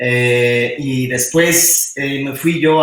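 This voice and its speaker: Fairly high in pitch, a man with a Mexican accent speaks with fairly even intonation. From Mexico. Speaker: roboticist. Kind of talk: technical talk. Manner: halting, many repetitions and fillers.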